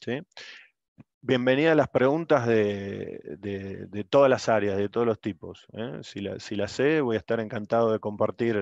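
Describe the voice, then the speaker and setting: A man with an Argentine accent speaks at a fairly slow pace with ordinary pitch variation. The sound is dry with no echo, and the background is quiet. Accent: Rioplatense Argentine Spanish. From Argentina, Buenos Aires. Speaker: oil industry logistics engineer; presenter. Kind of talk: workshop presentation. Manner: halting, many repetitions. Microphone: video call.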